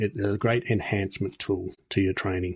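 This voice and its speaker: A somewhat breathy man with an Australian accent at a fairly low pitch, fairly quick and monotone, flat in intonation, in a dry, close sound with no echo and a very clean recording with a silent background. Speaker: martial arts instructor and podcast host. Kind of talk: interview conversation.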